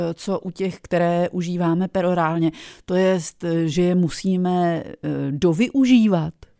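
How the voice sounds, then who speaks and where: The dark, mellow tone comes through on a very clean recording with a silent background. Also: woman, dry, close sound with no echo. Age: 50s. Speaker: radio host. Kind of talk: radio interview.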